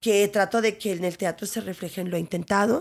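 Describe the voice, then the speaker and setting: Over a silent background in a very clean recording, a woman speaks in an animated tone at a medium pitch and a moderate pace. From Ciudad Juárez, northern Mexico. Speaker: actress and theatre director. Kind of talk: interview conversation.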